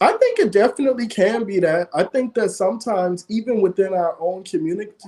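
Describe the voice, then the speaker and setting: Very fast speech with ordinary pitch variation over noticeable background noise. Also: man, high pitch for a man. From US South, Charleston, South Carolina (Gullah Geechee). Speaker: mental health guest. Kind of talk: podcast interview.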